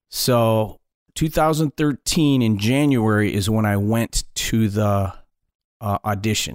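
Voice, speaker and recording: A man with a Midwestern American accent at a very slow pace and very even loudness, in a very clean recording with a silent background and a dry, close sound free of echo. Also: medium pitch for a man, ordinary pitch variation. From Detroit, Michigan. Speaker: comedian and wedding DJ. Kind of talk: casual interview storytelling.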